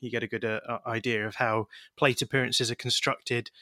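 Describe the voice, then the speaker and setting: At medium pitch and in a bright, sharp tone, a man with an English accent speaks in a very clean recording with a silent background and a dry, close sound with no echo. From England. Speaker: baseball podcaster. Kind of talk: interview.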